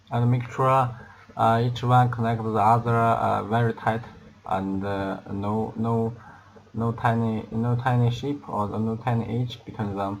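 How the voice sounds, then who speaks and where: Slow-ish, monotone delivery with flat intonation, a non-native accent and audible room echo. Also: man, medium pitch for a man. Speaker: product assembly demonstrator. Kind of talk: tutorial. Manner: halting, many fillers and repetitions.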